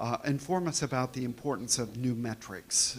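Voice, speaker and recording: Recorded very cleanly against a silent background, a man talks at a medium pitch and moderate pace with ordinary pitch variation. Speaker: company representative giving a talk. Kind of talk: conference presentation. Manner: hesitant, many fillers. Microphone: too far from the microphone at first.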